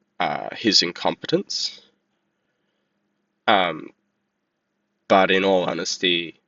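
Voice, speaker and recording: With an Australian accent, a man speaks at a very slow pace. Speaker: vlogger. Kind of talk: casual monologue commentary. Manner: halting, many fillers.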